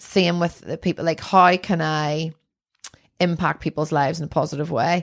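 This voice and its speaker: In a Northern Irish accent, a woman speaks at a moderate pace with a fairly low pitch and monotone, flat intonation, in a very clean recording with a silent background. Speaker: artist. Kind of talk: casual chat. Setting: her art studio.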